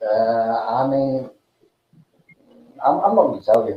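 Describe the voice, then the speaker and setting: The man's voice sits at a medium pitch. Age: 50s. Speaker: livestream host. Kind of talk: casual chat. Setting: live video call. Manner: halting.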